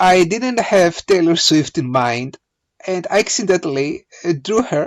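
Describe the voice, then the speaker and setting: A man with a non-native accent speaks at a fairly slow pace and with lively intonation against a quiet background. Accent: non-native English pronunciation. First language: not English. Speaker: hobby photographer and digital artist; presenter. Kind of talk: tutorial. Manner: hesitant, many filler uhs.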